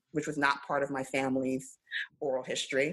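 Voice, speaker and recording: A woman with a New York accent speaks at a very deep, low pitch. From Brooklyn, New York. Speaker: finance attorney. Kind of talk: casual chat.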